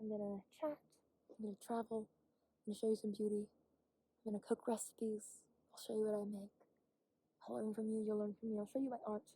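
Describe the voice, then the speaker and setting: Somewhat breathy and dark, mellow in tone, a woman speaks at a fairly high pitch and a fairly quick pace, leaving long, frequent pauses. The sound is dry and close, with no echo. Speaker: vlogger. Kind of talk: casual monologue vlog. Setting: outdoors on a hike. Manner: fast; animated.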